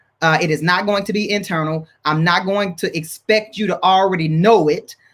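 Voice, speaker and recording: A loud man's voice, bright and sharp, high-pitched, with ordinary pitch variation. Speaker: marriage ministry leader. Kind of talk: panel discussion. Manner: high energy.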